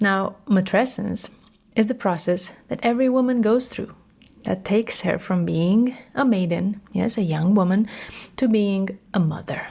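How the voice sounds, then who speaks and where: A woman with a Romanian accent at medium pitch, fairly slow, with a warm tone, dark, mellow tone, a somewhat breathy sound and ordinary pitch variation, on a very clean recording with a silent background. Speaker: podcast host, matrescence educator. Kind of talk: solo podcast talk. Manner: warm, conversational.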